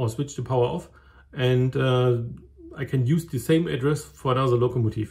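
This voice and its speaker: A man with a German accent talks at a moderate pace in a medium pitch, sounding somewhat breathy. The recording is very clean, with a silent background. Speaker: model railway hobbyist. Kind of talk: tutorial. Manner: halting.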